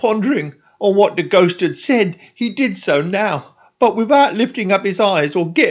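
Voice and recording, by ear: The text is read aloud in a natural voice.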